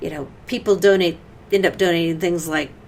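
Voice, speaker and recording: Her pitch is fairly low and her intonation fairly even as this woman speaks with a Great Plains accent. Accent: Great Plains accent, noticeable locally. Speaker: church community worker. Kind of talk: interview.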